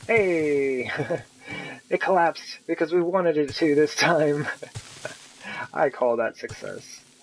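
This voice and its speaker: A man with a fairly high pitch and ordinary pitch variation speaks at a very slow pace, with long, frequent pauses and noticeable background noise. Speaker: gaming streamer. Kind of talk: live gameplay commentary.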